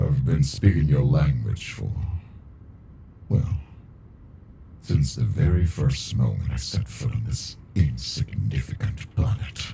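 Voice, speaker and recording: A man's put-on character voice, very deep and low, at a fairly slow pace with long, frequent pauses over clear background noise. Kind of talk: ASMR roleplay. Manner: dominant, flirty.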